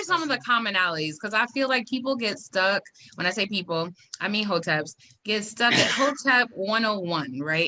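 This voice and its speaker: The speaker is a woman. Her pitch swings very widely. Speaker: podcast host. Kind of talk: casual podcast interview.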